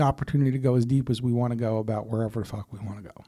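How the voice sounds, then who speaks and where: A man with an American accent and a dark, mellow tone. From Philadelphia suburbs, US. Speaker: podcast host, navy veteran. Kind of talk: casual conversation. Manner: casual, filler-heavy.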